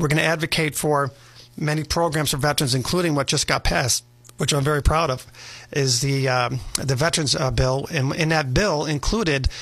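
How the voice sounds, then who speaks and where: A man speaks at a fairly quick pace in a fairly high pitch, with ordinary pitch variation. His loudness stays very even, and it is an ordinary speaking voice. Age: 50s. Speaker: congressional candidate. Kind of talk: radio interview. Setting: radio studio.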